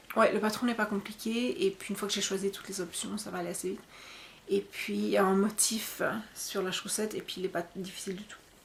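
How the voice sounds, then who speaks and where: Woman's voice at medium pitch, with big swings in loudness and noticeable background noise. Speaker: podcast host. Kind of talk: casual podcast monologue. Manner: fast; hesitant, many fillers.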